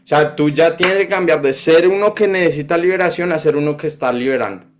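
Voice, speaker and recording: This man has a high pitch. It varies in an ordinary way. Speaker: preacher. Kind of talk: sermon.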